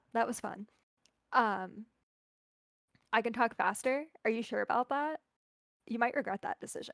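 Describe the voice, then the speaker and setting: This woman has a fairly high pitch, ordinary pitch variation and an animated tone. She leaves long, frequent pauses, and the sound is dry and close with no echo. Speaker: cosplayer. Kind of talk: casual chat. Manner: fast.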